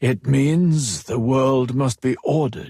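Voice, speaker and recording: In a put-on character voice, a man speaks at medium pitch and a fairly slow pace. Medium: read story. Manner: hushed, measured.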